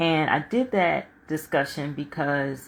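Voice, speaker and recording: This woman talks in a very deep, low pitch. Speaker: life coach and author. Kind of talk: livestream talk. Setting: live stream from home. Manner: loud.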